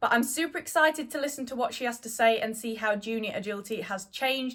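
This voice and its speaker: A woman with a British accent talks at a fairly quick pace. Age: 20s. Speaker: podcast host, dog agility competitor. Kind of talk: casual interview.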